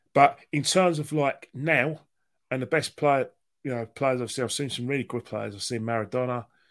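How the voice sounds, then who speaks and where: A man speaks at a moderate pace with a London accent. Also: medium pitch for a man, ordinary pitch variation, very clean recording, silent background. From London, Islington. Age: 50s. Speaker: football fan guest. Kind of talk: casual interview chat. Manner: animated.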